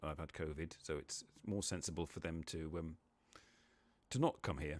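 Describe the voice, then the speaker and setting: Fairly even in intonation, a man's voice sits very deep and low. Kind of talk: casual live stream talk.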